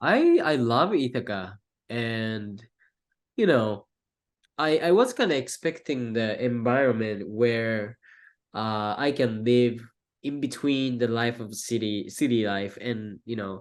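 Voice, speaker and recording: A man speaks at a medium pitch with a Japanese accent. His pace is very slow. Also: ordinary pitch variation. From Japan, Tokyo. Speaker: filmmaker, college student. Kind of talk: interview. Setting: podcast. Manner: halting.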